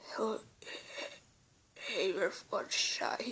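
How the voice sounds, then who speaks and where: A woman whispers in a raspy put-on character voice. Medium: read story. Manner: halting, stuttering.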